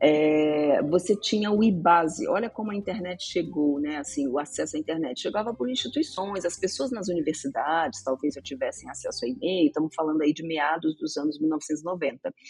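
Hardly pausing, a woman with a fairly low voice speaks with lively intonation against noticeable background noise. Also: moderate pace. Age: 50s. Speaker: journalist. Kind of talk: podcast interview. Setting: studio.

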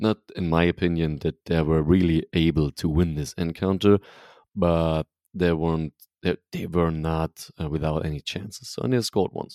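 Moderate pace in a German accent, in a very clean recording with a silent background. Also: man, very deep, low pitch for a man, fairly even intonation. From Germany, Leipzig. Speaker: football podcast host. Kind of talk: casual chat.

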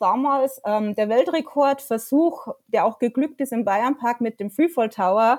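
Using a Bavarian accent, a woman with a high pitch speaks at a moderate pace with ordinary pitch variation. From Bavaria, Lower Bavaria near Dingolfing. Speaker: freelance journalist and theme park fan. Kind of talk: casual interview. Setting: at home on couch, remote call.

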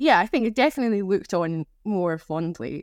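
The speaker has a Scottish accent in a very clean recording with a silent background. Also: woman. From Scotland. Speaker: gamer, drinks industry worker. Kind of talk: casual chat.

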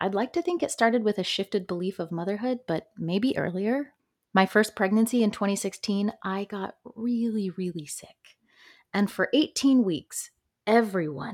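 A woman with an American accent speaks at a fairly slow pace in a fairly high pitch, using an ordinary speaking voice with lively intonation. The sound is dry and close with no echo, on a very clean recording with a silent background. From upstate New York. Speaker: podcast host. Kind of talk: personal testimony monologue.

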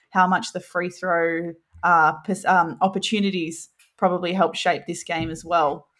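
A woman's fairly low, monotone, flat voice with an Australian accent at a fairly slow pace, on a very clean recording with a silent background. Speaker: basketball podcast co-host. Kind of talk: casual chat.

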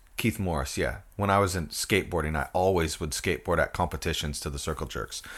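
A man's very deep, low voice with an American accent and vocal fry, at a very fast pace with hardly any pauses and ordinary pitch variation, on a very clean recording with a silent background. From US Northwest, Port Angeles, Washington. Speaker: punk musician and artist. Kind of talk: casual interview chat.

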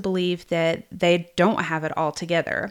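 A woman with a Southern US accent is heard in a very clean recording with a silent background. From US South, South Georgia. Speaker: podcast host and therapist. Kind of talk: casual monologue.

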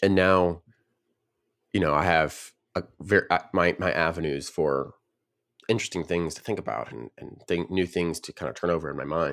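In an American accent, a man talks at a moderate pace with a very deep, low pitch, vocal fry, ordinary pitch variation, big swings in loudness and long, frequent pauses, on a very clean recording with a silent background. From US South, Nashville region. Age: young. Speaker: podcast co-host and coder. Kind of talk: casual chat.

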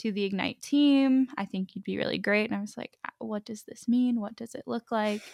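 A woman with an American accent speaks at a medium pitch with ordinary pitch variation, in a plain, everyday voice. The recording is very clean, with a silent background and a dry, close sound with no echo. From Pittsburgh, Pennsylvania. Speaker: dental resident. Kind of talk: interview.

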